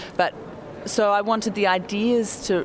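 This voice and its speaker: A woman speaks with a New Zealand accent. Noticeable background noise can be heard behind her. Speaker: documentary filmmaker. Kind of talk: interview. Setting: hotel lobby.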